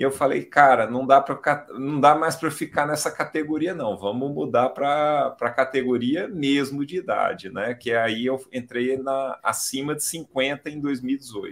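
At a fairly slow pace and with hardly any pauses, an unremarkable speaking voice delivers its words in a fairly even intonation. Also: man, fairly high pitch for a man. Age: 50s. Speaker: amateur cyclist. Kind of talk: casual chat. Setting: live video stream.

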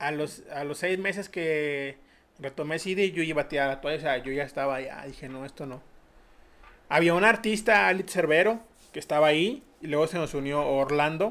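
With a fairly high pitch and ordinary pitch variation, a man speaks at a moderate pace. His loudness swings widely. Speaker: podcast host. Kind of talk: casual interview chat.

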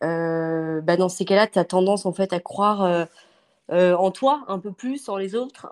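At a very slow pace, a woman speaks with a medium pitch and ordinary pitch variation, the sound dry and close with no echo. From western France (Angers). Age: 30s. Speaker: interior decorator. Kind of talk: interview. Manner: hesitant, many fillers.

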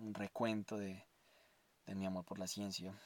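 The recording is very clean, and the background is silent. In it, a man talks at a moderate pace. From Colombia, Armenia (Quindío). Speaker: podcast host, science student. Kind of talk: personal monologue. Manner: halting.

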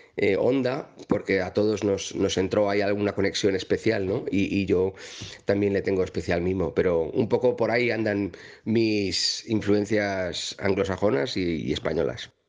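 With fairly even intonation, the man's delivery keeps a moderate pace. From Madrid, Spain. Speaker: singer-songwriter. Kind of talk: interview. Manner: halting, repeats words.

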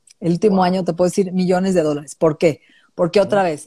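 Recorded very cleanly against a silent background, with a dry, close sound and no echo, a woman speaks at medium pitch in a dark, mellow tone. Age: 50s. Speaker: functional nutritionist. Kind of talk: interview.

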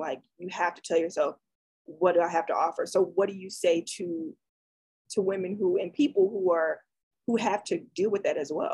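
A woman's ordinary speaking voice with an American accent, medium in pitch with ordinary pitch variation, at a moderate pace. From US South. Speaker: graduate student interviewer. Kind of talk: interview conversation.

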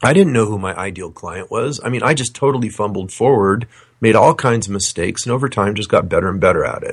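A man talks at a very fast pace in a somewhat breathy voice, at a medium pitch with ordinary variation. The recording is very clean, with a silent background. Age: 50s. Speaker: financial coach. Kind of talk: interview.

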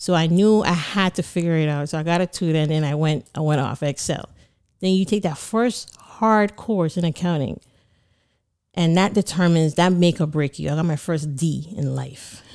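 Speaking at a moderate pace with a Caribbean accent, a woman uses a fairly low pitch and ordinary pitch variation on a very clean recording with a silent background. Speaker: certified public accountant and business owner. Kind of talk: casual interview.

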